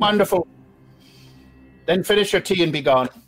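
Faint music plays in the background behind a man. He uses a put-on character voice, high-pitched and at a fairly quick pace. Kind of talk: game master character voice. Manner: cryptic, imperious, menacing.

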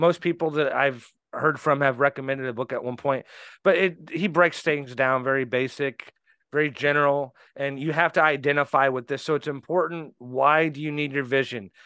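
A man with a Midwestern US accent speaks at a fairly high pitch and moderate pace, his tone bright and sharp and his intonation fairly even, in a dry, close recording with no echo and a quiet background. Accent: US Midwest. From Indianapolis, Indiana. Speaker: business owner. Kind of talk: interview.

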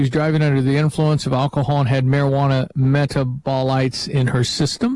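A man speaks at a moderate pace in an unremarkable speaking voice. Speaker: radio host. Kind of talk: live talk radio show. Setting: studio.

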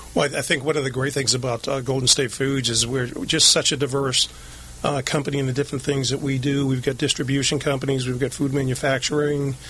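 Against noticeable background noise, a man with an American accent speaks very fast in a monotone, flat voice. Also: medium pitch for a man. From Lynn, Massachusetts. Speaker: HR director, Marine veteran. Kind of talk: interview. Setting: studio.

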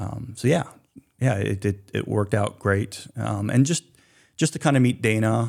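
With a Mid-Atlantic American accent, a man speaks in a dark, mellow tone at a fairly low pitch, with ordinary pitch variation, in a very clean recording with a silent background. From southern Pennsylvania, Hanover. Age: 50s. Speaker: shellfish distribution business owner. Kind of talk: radio interview. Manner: many filler words and restarts.

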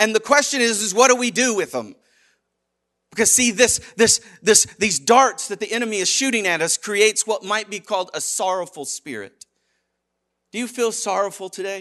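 A man's raised, projected voice, high-pitched and animated in tone. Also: ordinary pitch variation, moderate pace, quiet background. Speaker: preacher. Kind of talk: sermon, preacher in full flow, urgent call-and-response delivery. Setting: church. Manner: animated, emphatic, driving rhythm with repeated phrases and rhetorical questions.

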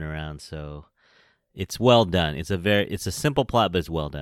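On a very clean recording with a silent background, a man with a West Coast American accent lets his pitch swing very widely. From San Francisco, California. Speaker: podcast host. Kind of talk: casual chat.

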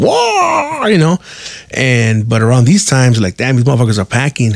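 A man with an American accent speaks at a fairly quick pace in a normal speaking voice, his pitch medium. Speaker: podcast host. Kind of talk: casual storytelling monologue.

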